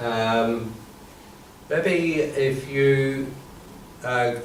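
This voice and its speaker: A medium-pitched man with an Irish accent, over noticeable background noise. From Ireland. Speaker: comedian and comedy trainer. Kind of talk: workshop instruction to a group.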